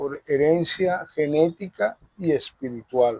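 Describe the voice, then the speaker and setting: The man's voice sits fairly high in pitch. The sound is dry and close, with no echo. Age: 60s. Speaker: Afro-Venezuelan religious leader. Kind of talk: interview. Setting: outdoors in a park.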